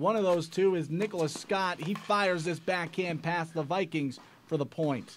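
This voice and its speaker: Over music in the background, a man with a high pitch talks at a moderate pace with ordinary pitch variation. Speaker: sports highlights announcer. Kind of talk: sports commentary voiceover recap of tennis highlights.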